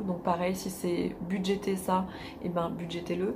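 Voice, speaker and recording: A woman talks at a fairly slow pace and a medium pitch. Room echo can be heard. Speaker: life coach. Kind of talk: advice monologue.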